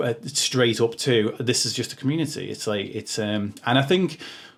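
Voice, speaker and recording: Speaking with a Liverpool accent, a man keeps a moderate pace and medium pitch with ordinary pitch variation. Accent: Liverpool (Scouse). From Liverpool, England. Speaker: podcast host. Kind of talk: casual interview chat. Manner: halting, many fillers.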